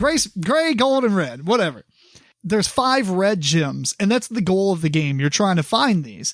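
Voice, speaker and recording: Talking at a moderate pace with very even loudness, a man with a high pitch makes very wide pitch swings. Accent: Kentucky. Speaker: board game podcast host. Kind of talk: casual chat. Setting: recording in the same room as co-host.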